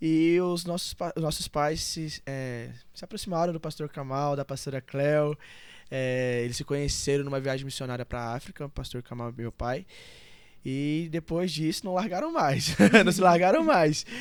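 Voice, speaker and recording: A man with a fairly high pitch speaks in an ordinary speaking voice at a moderate pace, with ordinary pitch variation, on a very clean recording with a silent background. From Brazil, Goiás (Valparaíso, near Brasília). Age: 20s. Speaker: church member, pastor's son. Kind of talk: podcast interview.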